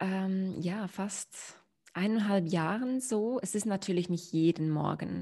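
The dark, mellow voice unfolds at a very slow pace in a very clean recording with a silent background. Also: woman. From Switzerland, near Olten. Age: 30s. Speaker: meditation teacher and mindset coach. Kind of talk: interview, personal story.

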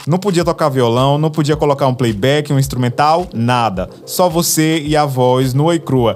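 With music in the background, a man speaks in a fairly high voice and an animated tone, at very even loudness and with hardly any pauses. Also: ordinary pitch variation, moderate pace. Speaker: podcast host. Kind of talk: casual storytelling monologue.

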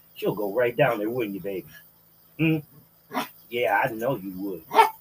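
Noticeable background noise behind lively intonation and a moderate pace. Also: man. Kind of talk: angry rant. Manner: furious, profane, ranting.

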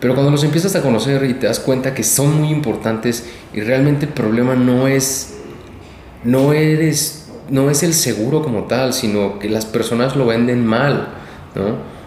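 In a room with audible echo and noticeable background noise, a man of medium pitch speaks at a fairly slow pace with ordinary pitch variation. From Sonora, Mexico. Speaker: insurance agent. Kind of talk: interview.

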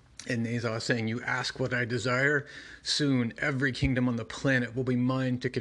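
Here is someone doing plain reading aloud.

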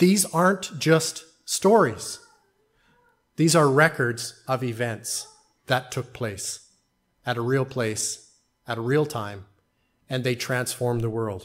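This man talks at a very slow pace and a medium pitch, with lively intonation and long, frequent pauses. The recording is very clean, with a silent background. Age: 40s. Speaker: pastor. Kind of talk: sermon. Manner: formal.

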